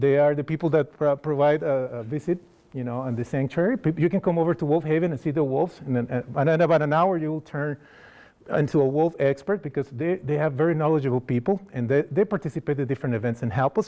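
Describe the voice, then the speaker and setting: A man speaks with a Costa Rican accent. His voice is fairly high and his pace very fast. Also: ordinary pitch variation. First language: Spanish. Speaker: wildlife outreach coordinator. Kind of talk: lecture. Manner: halting.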